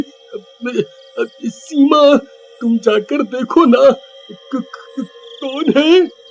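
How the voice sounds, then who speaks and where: In a cartoonish character voice with an extremely high pitch, a man speaks very slowly over faint background music. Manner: stammering, fearful.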